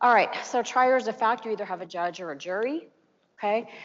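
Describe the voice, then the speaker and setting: A woman's pitch varies in an ordinary way as she talks very fast. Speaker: seminar presenter on courtroom testimony. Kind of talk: lecture.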